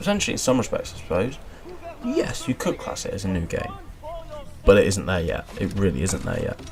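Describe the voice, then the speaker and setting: A man talks at a fairly quick pace. He leaves long, frequent pauses, with noticeable background noise behind him. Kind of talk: casual gameplay commentary.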